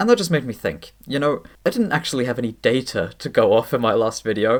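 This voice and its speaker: A man's medium-pitched voice with vocal fry, a fairly quick pace and lively intonation. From Sweden. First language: Swedish. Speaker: language YouTuber. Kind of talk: scripted narration.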